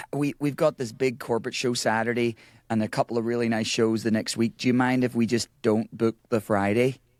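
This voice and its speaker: A man with an Irish accent talks fairly quickly at a medium pitch, flat and monotone. His loudness stays very even, and the sound is dry and close with no echo. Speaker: musician and band leader. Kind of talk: casual chat. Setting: video call.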